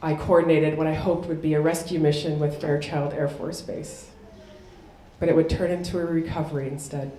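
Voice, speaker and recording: Over noticeable background noise and audible room echo, a woman with a Chicago accent speaks fairly quickly in a very deep, low pitch with ordinary pitch variation. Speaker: military officer and keynote speaker. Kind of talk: keynote speech.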